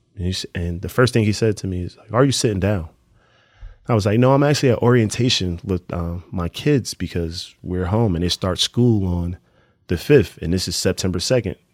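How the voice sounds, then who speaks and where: In a very clean recording with a silent background, the speaker talks with a New Jersey accent at a fairly quick pace and ordinary pitch variation. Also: man, fairly low pitch for a man. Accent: New Jersey urban American English. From Newark, New Jersey. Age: 30s. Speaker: professional basketball player. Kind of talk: casual interview conversation.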